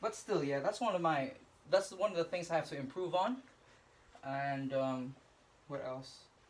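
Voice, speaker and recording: A high-pitched male voice with lively intonation and long, frequent pauses. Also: moderate pace. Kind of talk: casual talk to camera. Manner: hesitant, stuttering.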